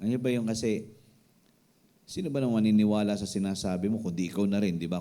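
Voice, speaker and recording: A dark, mellow tone at a very fast pace, with ordinary pitch variation and audible room echo. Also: man. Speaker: pastor. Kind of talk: sermon. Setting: church midweek service. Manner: code-switching Tagalog and English.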